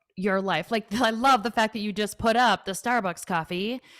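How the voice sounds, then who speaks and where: In a very clean recording with a silent background and a dry, close sound with no echo, a woman with a Minnesotan accent speaks at a moderate pace. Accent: Minnesota. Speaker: financial advisor and author. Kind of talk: podcast interview. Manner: animated.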